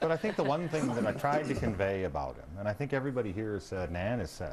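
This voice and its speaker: A man with an American accent talks at a very fast pace, his medium pitch moving in very wide swings. Noticeable background noise runs underneath. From Michigan. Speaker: congressman. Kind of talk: talk show panel discussion. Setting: TV studio.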